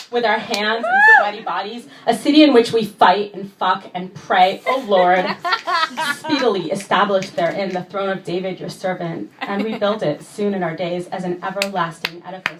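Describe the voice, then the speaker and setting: There is noticeable background noise behind the speaker. A woman speaks at a moderate pace. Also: medium pitch for a woman, ordinary pitch variation. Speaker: poet. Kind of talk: spoken word poetry performance. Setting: live venue.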